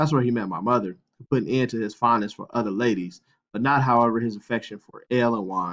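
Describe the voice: The speaker does plain reading aloud, the pitch varying in an ordinary way against a quiet background.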